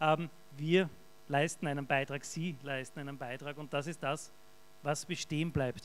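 In an Austrian accent, a man talks with fairly even intonation. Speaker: event host, volunteer treasurer of hospice association. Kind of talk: event moderation. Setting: stage with audience. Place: hall.

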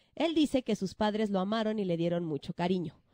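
A woman's dark, mellow voice, dry and close with no echo, in a very clean recording with a silent background. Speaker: podcast host, storyteller. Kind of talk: true-crime storytelling. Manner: casual, with voice cracks.

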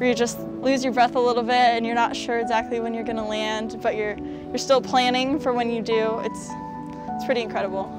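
Talking at a fairly quick pace, a woman hardly pauses at all. Clear music sits in the background of a dry recording with no echo. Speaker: monster truck driver. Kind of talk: interview answer. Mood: cheerful, enthusiastic. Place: open country.

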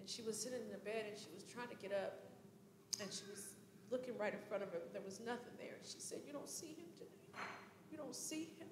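A woman at a fairly quick pace with noticeable background noise. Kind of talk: eulogy tribute speech. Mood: emotional, remembering grandmother. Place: church. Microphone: handheld.

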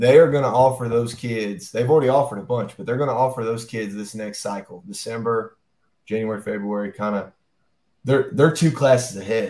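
An American-accented man speaks at a moderate pace and medium pitch with ordinary pitch variation and big swings in loudness, with audible room echo. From US South. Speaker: high school football coach. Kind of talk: interview. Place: office.

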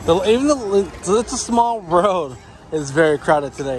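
The sound is dry, with no echo. Clear music plays behind the man's voice. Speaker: vlogger. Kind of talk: casual vlog commentary. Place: street. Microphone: phone near.

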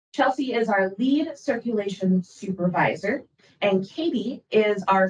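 A woman speaks with an American accent and lively intonation. Her voice is somewhat breathy. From Minnesota, Rochester. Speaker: librarian. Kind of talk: presentation. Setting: public board meeting.

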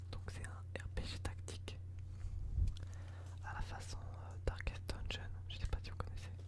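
Loud background noise runs behind a man as he talks. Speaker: ASMR and gaming YouTuber. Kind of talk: casual gameplay commentary to camera. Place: home room.

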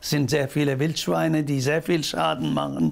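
A man with a Turkish accent speaks at a fairly high pitch. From Turkey. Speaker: social worker. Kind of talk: interview answer. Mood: warm, proud. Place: home room. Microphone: lapel.

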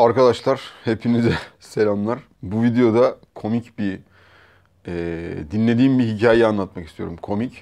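A man talks at a fairly slow pace, the background around him quiet. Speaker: vlogger. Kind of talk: casual vlog chat, storytelling. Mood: amused, relaxed. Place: home room. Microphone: lapel.

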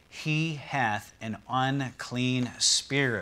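Fairly even intonation from a male speaker. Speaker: pastor. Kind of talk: sermon. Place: church. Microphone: lapel.

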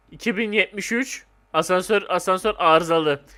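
Lively intonation and a bright, sharp tone come through in a very clean recording with a silent background. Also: man. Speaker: gaming YouTuber. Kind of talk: gameplay commentary. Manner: animated.

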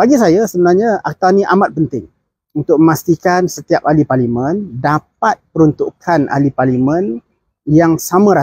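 A man with a high voice speaks at a moderate pace with lively intonation. The sound is dry with no echo, and the background is quiet. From Malaysia. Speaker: political commentator. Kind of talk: political commentary monologue. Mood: earnest, critical. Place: open country. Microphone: phone near.

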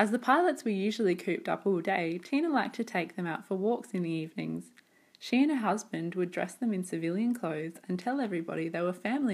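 A woman speaks at a medium pitch and a fairly quick pace, with ordinary pitch variation and a plain, everyday voice. The recording is very clean, with a silent background. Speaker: documentary narrator. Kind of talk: corporate documentary narration.

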